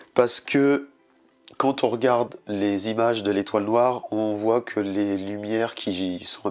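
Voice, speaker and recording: The man speaks at a very slow pace with a fairly low pitch. His intonation stays fairly even. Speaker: DIY youtuber. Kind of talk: tutorial. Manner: casual.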